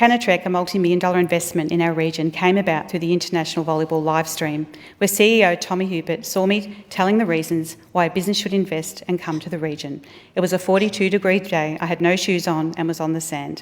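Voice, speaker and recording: A woman speaks very fast with an Australian accent and fairly even intonation. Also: fairly low pitch for a woman. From Australia, regional Victoria. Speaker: politician. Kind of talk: speech. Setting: parliament chamber. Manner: formal.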